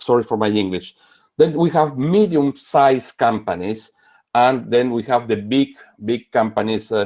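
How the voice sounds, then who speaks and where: Medium pitch for a man, a moderate pace and ordinary pitch variation in a man's voice. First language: French. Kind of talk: panel intervention. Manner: halting, repeating words.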